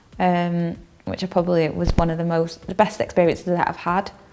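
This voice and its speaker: Speaking at a fairly quick pace in a Manchester accent, the voice has a dark, mellow tone and monotone, flat intonation. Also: woman. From northern England, Stockport (Reddish), Greater Manchester. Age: 30s. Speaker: counselling student. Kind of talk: personal testimony interview. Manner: hesitant, many fillers.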